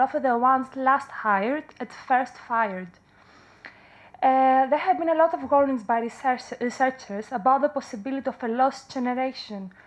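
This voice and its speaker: In a high-pitched voice, a woman speaks with a Greek accent. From Greece. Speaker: counselling psychologist. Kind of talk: conference talk. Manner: halting.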